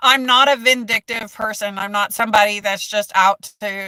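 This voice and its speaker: Loud and animated, a woman with an American accent speaks at a moderate pace and medium pitch, her tone bright and sharp in a dry, close sound with no echo. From United States. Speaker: mental health content creator. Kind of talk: live stream chat.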